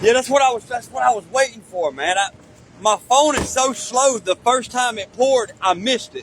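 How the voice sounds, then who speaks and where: This loud man talks at an extremely high pitch with ordinary pitch variation over noticeable background noise. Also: moderate pace. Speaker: video blogger visiting a steel mill. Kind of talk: casual chat.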